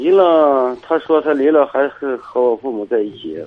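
Here is a man with a normal speaking voice. His pace is moderate. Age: 50s. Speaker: caller. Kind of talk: phone-in chat. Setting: phone call.

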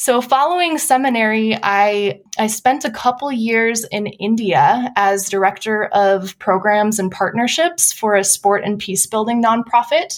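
A woman with an American accent and a normal speaking voice, fairly high in pitch, at a fairly slow pace with hardly any pauses and ordinary pitch variation. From US Midwest (Wisconsin). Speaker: nonprofit program director. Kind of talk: interview.

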